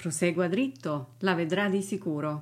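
A woman speaks at a very slow pace. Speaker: English teacher. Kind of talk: language lesson.

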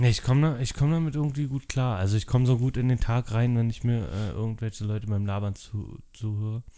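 At a fairly quick pace with hardly any pauses, a man talks in a medium pitch with a dark, mellow tone and ordinary pitch variation. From Berlin (Treptow-Köpenick). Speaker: podcast co-host. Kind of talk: casual chat.

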